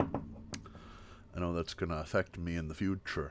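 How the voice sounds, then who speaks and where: Soft-spoken and relaxed in tone, a man talks at a very deep, low pitch. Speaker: livestreamer. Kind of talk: casual chat, ASMR-style livestream. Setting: live stream, home desk with webcam. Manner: relaxed, chill.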